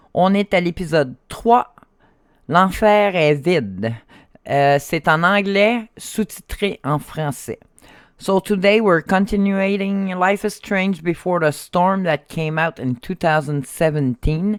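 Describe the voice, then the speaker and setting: At a very slow pace, a woman with a fairly low pitch is heard in a dry, close sound with no echo on a very clean recording with a silent background. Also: ordinary pitch variation. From Quebec, Canada. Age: 50s. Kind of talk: gameplay stream intro.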